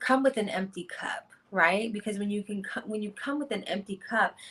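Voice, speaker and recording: In a normal speaking voice with an American accent, a woman talks at a moderate pace with ordinary pitch variation. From Washington, D.C. (Uptown). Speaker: vegan chef. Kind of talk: interview.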